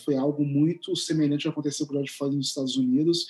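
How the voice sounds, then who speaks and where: A man's fairly high-pitched voice with music in the background. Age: 40s. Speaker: writer and content creator. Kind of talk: interview conversation.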